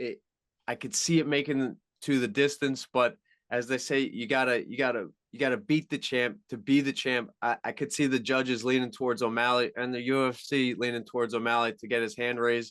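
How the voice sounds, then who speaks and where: With a Long Island accent, a man speaks at a moderate pace and medium pitch, his intonation fairly even over a quiet background. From Long Island, New York. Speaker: MMA journalist. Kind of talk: podcast interview. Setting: radio show.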